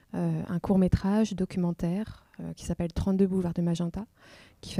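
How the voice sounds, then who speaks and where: A woman's dark, mellow tone with fairly even intonation, in a dry, close sound with no echo. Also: very clean recording, silent background. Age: 30s. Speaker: filmmaker and photographer. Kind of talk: interview. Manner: hesitant, many fillers.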